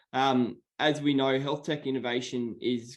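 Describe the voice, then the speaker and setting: A medium-pitched man with an Australian accent against a quiet background. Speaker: meeting participant asking about health tech. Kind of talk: online meeting question.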